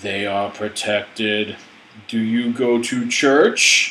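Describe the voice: In a put-on character voice, a man speaks at a very slow pace, shaky and monotone, with flat intonation at a medium pitch.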